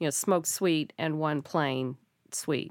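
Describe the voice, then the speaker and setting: With a normal speaking voice, a woman talks at a moderate pace and ordinary pitch variation in a very clean recording, silent in the background, dry and close with no echo. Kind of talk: casual chat.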